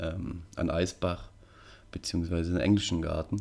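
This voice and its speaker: Very deep and low, a man's voice carries a dark, mellow tone at a moderate pace. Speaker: podcast host. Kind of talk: solo podcast monologue. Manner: monotone.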